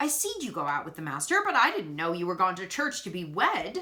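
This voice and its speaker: In a put-on character voice, a woman speaks at a medium pitch and a fairly quick pace. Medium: read story. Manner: matter-of-fact.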